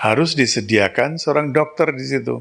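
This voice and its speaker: A man's medium-pitched voice, fairly slow in pace, with lively intonation. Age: 60s. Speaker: spiritual teacher. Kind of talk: spiritual talk.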